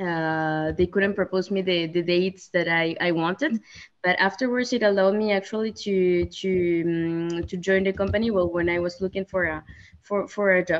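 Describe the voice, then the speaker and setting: Speaking with a Spanish accent, a woman talks at a moderate pace and a medium pitch. Her intonation is fairly even. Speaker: sales manager, alumna. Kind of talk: webinar interview. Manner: halting, many fillers.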